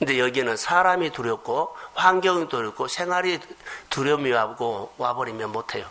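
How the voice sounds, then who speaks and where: This man, fairly high in pitch, talks at a moderate pace with lively intonation while noticeable background noise carries on. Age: 50s. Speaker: pastor. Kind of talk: sermon.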